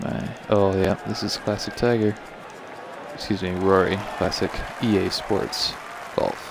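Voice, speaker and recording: Over noticeable background noise, a man speaks quietly and fairly slowly at a fairly low pitch, his intonation fairly even and broken by long, frequent pauses. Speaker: video game streamer. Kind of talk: live gameplay commentary. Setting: live stream. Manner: quiet, hushed.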